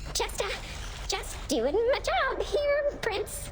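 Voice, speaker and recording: A squeaky, put-on character voice from a woman, extremely high in pitch and very slow, over loud background noise. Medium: video game. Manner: stammering, nervous.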